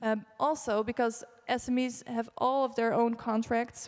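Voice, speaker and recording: Her intonation monotone and flat, a woman speaks at a fairly high pitch. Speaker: project manager. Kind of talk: conference presentation. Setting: conference stage with audience. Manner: halting.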